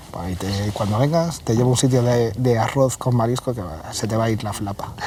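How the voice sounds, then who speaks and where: A man with a Galician accent speaks at a fairly quick pace, his pitch medium with ordinary variation. Noticeable background noise sits behind him. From Galicia, Vigo. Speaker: cybersecurity manager and hacker. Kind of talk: casual interview chat.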